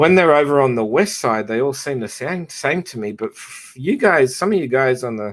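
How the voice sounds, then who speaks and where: With an Australian accent, a man talks at a moderate pace with lively intonation, hardly any pauses and big swings in loudness. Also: medium pitch for a man. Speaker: live stream host. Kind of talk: casual chat.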